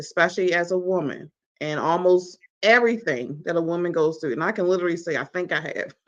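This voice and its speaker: At a very fast pace, a woman with an American accent speaks in a fairly low voice with ordinary pitch variation. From US, Baltimore. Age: 40s. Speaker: talk show host and magazine publisher. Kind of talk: personal testimony in interview. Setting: live online stream.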